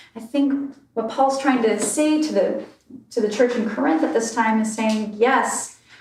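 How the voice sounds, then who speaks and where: Noticeable background noise sits behind a woman talking at a fairly slow pace. Her pitch is fairly high and varies an ordinary amount. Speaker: minister giving a sermon. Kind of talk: church sermon.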